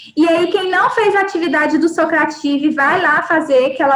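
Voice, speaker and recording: Audible room echo follows the words, which come at a moderate pace. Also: woman. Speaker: university lecturer. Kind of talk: live online lecture. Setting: live online class.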